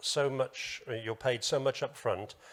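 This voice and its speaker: A man with a British accent speaks at a moderate pace with ordinary pitch variation. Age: 70s. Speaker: business association president and business owner. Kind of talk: panel discussion. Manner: hesitant.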